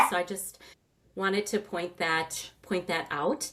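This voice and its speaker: Noticeable background noise sits behind a woman with a fairly low pitch who speaks at a moderate pace. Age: 60s. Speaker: retired knee replacement patient. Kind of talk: interview testimony. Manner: conversational, with frequent fillers.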